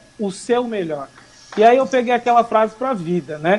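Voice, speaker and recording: The speaker is a man. There is noticeable noise in the background. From Brazil, Suzano, São Paulo area. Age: 20s. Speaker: hairdresser and entrepreneur. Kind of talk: casual interview.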